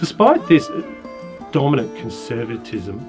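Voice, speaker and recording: Music plays in the background. A man is speaking. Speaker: poetry teacher and presenter. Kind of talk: educational lecture narration.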